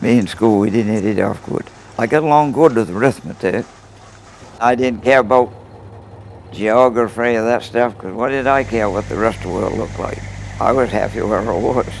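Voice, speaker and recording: A man with a Maine accent speaks at a moderate pace and medium pitch, with ordinary pitch variation. He takes long, frequent pauses amid noticeable background noise. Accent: Downeast Maine. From Maine coast (Stonington area). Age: 80s+. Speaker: lobsterman. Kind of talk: interview.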